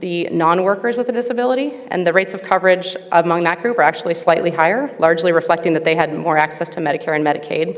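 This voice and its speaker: At a very fast pace, a woman with a fairly low pitch talks with ordinary pitch variation over noticeable background noise. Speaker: researcher presenting at a conference panel. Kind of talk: conference presentation.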